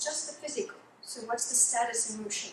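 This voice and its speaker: Audible room echo surrounds the recording. A woman speaks fairly quickly. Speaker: clinical hypnotherapist giving a presentation. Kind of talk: lecture. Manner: fast.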